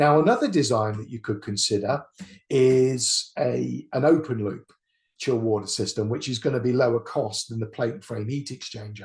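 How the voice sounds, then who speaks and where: A man speaks at a moderate pace, somewhat breathy. His pitch variation is ordinary, and the background is quiet. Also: medium pitch for a man. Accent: British. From UK. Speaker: engineer. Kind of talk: lecture. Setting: webinar. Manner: halting.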